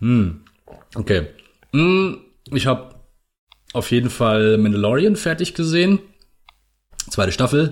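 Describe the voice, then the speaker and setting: A man speaks at a medium pitch and a fairly slow pace, leaving long, frequent pauses. His pitch swings very widely while his loudness stays very even. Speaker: podcast host. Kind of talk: casual chat.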